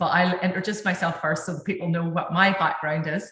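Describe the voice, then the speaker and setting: With a strong Northern Irish accent, a woman speaks at a fairly low pitch in a monotone, flat intonation, with audible room echo. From Northern Ireland. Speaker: dentist, panel moderator. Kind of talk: webinar panel talk.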